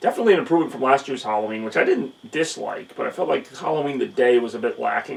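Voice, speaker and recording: Noticeable background noise sits behind the speaker. He is a man talking at a very fast pace. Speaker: youtuber and streamer. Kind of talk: casual vlog rant. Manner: somber; hesitant with fillers.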